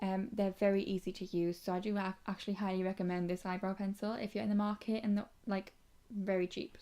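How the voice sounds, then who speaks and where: A woman with a British accent speaks in a medium pitch. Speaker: beauty youtuber. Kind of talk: casual vlog chat. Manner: soft-spoken.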